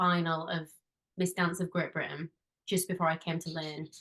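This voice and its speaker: A woman speaks in a strong Yorkshire accent at a fairly low pitch. Her pace is moderate. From northern England, Halifax, West Yorkshire. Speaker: musical theatre performer and dance teacher. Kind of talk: podcast interview.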